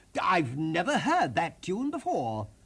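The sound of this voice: A man puts on a character voice with very wide pitch swings, pitched high for a man. His tone is fairly bright with a slightly husky edge, and he talks at a fairly slow pace.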